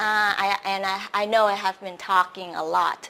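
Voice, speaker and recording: A woman speaks with a Vietnamese accent. Her pitch sits in the medium range. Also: very clean recording, silent background. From Vietnam, Saigon. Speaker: English teacher and host. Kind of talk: live stream self-introduction. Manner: hesitant, many fillers.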